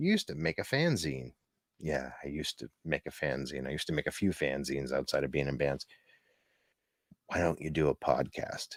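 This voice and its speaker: A man talks at a moderate pace with lively intonation and vocal fry. The sound is dry and close, with no echo. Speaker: podcast host. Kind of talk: casual chat.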